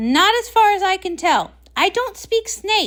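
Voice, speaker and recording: Putting on a squeaky character voice, a woman speaks at an extremely high pitch and a fairly slow pace with ordinary pitch variation. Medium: read story. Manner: panicky, dramatic.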